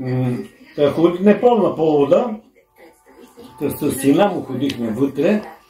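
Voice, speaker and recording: A man's fairly high-pitched voice with lively intonation, a fairly slow pace and long, frequent pauses over music in the background. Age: 80s+. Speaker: grandfather telling memories. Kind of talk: casual chat. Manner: halting.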